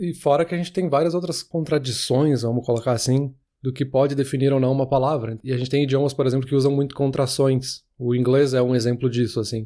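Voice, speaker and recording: Over a very clean recording with a silent background, a man with a dark, mellow tone and medium pitch speaks at a very fast pace with hardly any pauses and fairly even intonation. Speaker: podcast co-host. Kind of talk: casual chat.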